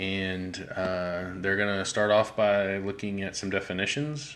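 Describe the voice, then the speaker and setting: The voice is quiet and flat, with a monotone delivery. Room echo can be heard around it. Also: man. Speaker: education activist video host. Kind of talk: live-streamed textbook critique. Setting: garage. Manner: quiet, low-key; hesitant, many fillers.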